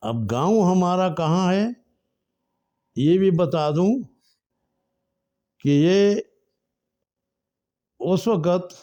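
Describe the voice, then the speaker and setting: A man's high-pitched voice, dark and mellow in tone, broken by long, frequent pauses. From northwest Pakistan, Swabi. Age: 80s+. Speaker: storyteller. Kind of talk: life story narration. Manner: halting.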